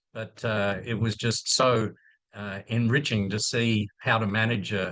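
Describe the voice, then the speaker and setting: Against a quiet background, a man with a fairly low pitch and a bright, sharp tone speaks with monotone, flat intonation. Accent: Australian. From Australia. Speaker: infectious disease physician and professor. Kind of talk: presentation. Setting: video call. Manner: halting, many fillers and repeats.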